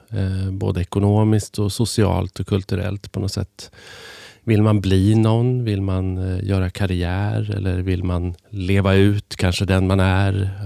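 A man with a very deep, low pitch and a dark, mellow tone speaks in a flat monotone, recorded very cleanly against silence in a dry, close sound with no echo. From Sweden, Hälsingland. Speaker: journalist and author. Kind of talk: interview conversation. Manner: halting, many restarts and fillers.

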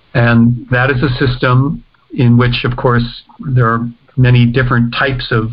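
Somewhat breathy, a man with an American accent and a medium pitch speaks at a fairly slow pace in a monotone, flat intonation. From United States. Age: 60s. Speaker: professor. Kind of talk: interview.

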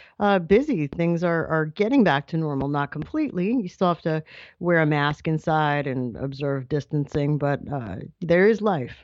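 A woman with an American accent, her pitch very deep and low, at a moderate pace with ordinary pitch variation. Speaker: radio correspondent. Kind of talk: casual chat.

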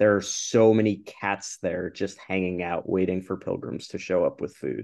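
A man speaks in a plain, everyday voice at a fairly low pitch and a moderate pace. His intonation is fairly even, and the background is quiet. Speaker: podcast host. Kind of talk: casual interview.

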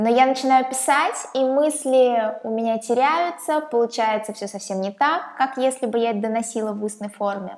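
A woman speaks in a normal speaking voice, fairly high in pitch, at a moderate pace with ordinary pitch variation and hardly any pauses. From Russia, Saint Petersburg. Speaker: podcaster. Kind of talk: channel introduction monologue.

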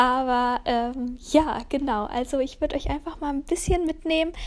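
Using ordinary pitch variation, a woman talks at a fairly slow pace. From Lower Rhine, Germany (Kempen). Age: 20s. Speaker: wedding photographer. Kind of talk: casual monologue. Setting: at home on couch. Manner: halting, many fillers.

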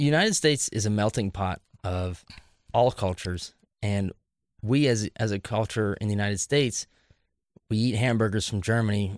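A man with an American accent speaks at a moderate pace with ordinary pitch variation. The sound is dry and close, with no echo. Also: very clean recording, silent background. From US Midwest, Columbus, Ohio area. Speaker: podcast guest. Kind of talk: casual debate.

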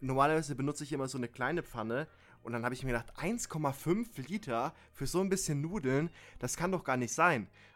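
A man with a fairly high pitch, lively intonation and an animated tone, at a fairly quick pace. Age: 20s. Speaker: podcast co-host. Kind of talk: casual chat. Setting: remote call with slight delay. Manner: halting.

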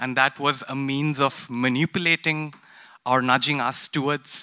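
Fairly high male voice with a bright, sharp tone and fairly even intonation, in a dry, close sound with no echo. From India. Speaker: graduate student. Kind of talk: audience question. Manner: halting.

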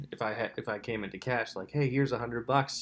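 A fairly quick pace and fairly even intonation on a very clean recording with a silent background. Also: man. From Lancaster County, Pennsylvania. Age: 20s. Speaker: podcast host. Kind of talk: solo casual monologue. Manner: rambling, self-interrupting.

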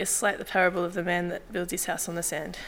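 A woman speaks at a fairly quick pace with a nervous tone. Her voice has a bright, sharp quality. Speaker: church member giving baptism testimony. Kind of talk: testimony. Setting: church.

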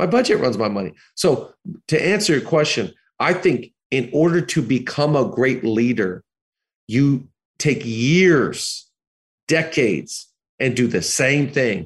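A man with an American accent speaks at a fairly slow pace in a medium pitch, his loudness very even, his tone animated and his intonation lively, somewhat breathy, with long, frequent pauses. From US Pacific Northwest (Seattle). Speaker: pastor. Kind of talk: interview.

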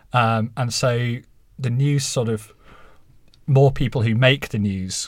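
A somewhat breathy voice with fairly even intonation comes through a very clean recording with a silent background. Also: man. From Halifax, northern England. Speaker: journalist and author. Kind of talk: interview answers.

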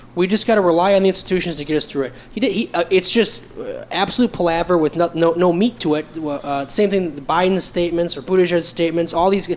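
A high-pitched man at a very fast pace with hardly any pauses, over noticeable background noise. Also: ordinary pitch variation. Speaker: podcast co-host. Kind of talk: casual chat. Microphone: poor mic picking up breath and pops.

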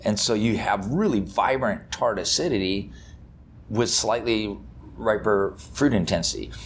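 With an American accent, a man talks at a fairly slow pace and very even loudness, and audible room echo surrounds him. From Napa Valley, California. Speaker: winemaker. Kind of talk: casual interview. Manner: halting, many fillers.

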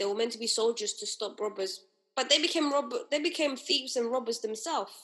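Lively in intonation, a woman talks at a fairly quick pace. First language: not English. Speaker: podcast co-host; hospital worker. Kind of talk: casual chat.

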